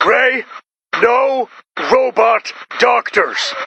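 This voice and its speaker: A man puts on a character voice, pitched extremely high. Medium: machinima.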